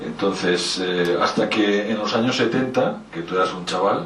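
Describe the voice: A man at a fairly low pitch speaks at a moderate pace, with ordinary pitch variation and a fairly bright tone. Room echo is audible.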